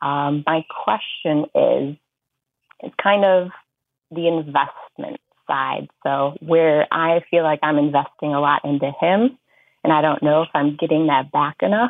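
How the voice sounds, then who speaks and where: The voice belongs to a woman with a very deep, low pitch. She talks fairly slowly. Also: ordinary pitch variation. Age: 20s. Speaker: caller seeking dating advice. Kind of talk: casual chat. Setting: phone call.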